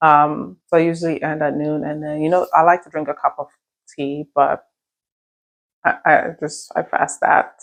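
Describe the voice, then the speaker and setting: A soft-spoken woman talks at a moderate pace. Her pitch is very deep and low. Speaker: lifestyle vlogger. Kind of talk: casual vlog talk. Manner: soft-spoken, low.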